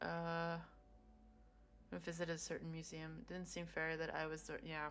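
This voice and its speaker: In a room with audible echo, a woman talks at a moderate pace. Her fairly low voice is monotone and flat. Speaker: streamer. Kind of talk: casual live-stream talk.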